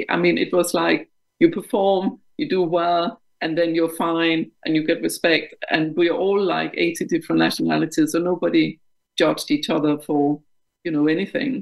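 A woman with a Danish accent talks at a moderate pace. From Denmark. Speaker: company board director. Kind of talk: interview.

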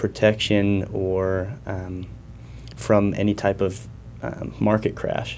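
Speaking with an American accent, a man uses a fairly low pitch with ordinary pitch variation. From Arizona (small town). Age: 20s. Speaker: financial educator. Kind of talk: interview. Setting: studio.

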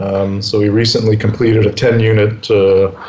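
A man talks at a medium pitch with a Canadian accent. Noticeable background noise runs under the recording. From Canada, Winnipeg. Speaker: real estate entrepreneur. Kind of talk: interview.

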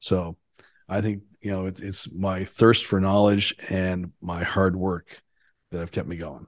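With a Canadian accent, a man talks at a fairly slow pace in a very deep, low pitch and fairly even intonation. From Canada, Ontario. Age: 50s. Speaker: CEO coach and suicide-prevention activist. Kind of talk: interview conversation.

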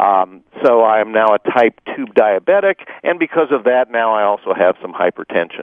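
A man at a medium pitch, moderate pace and lively intonation, with hardly any pauses. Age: 60s. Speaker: cancer survivor. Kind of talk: interview. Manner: halting.

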